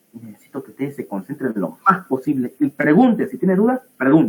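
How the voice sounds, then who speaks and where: This is a man's voice. His pitch is fairly high. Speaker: pathology teaching assistant. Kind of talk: lecture. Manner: animated.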